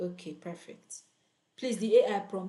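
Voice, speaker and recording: A loud woman at medium pitch with an animated tone. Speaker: online freelancing coach. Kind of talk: live tutorial.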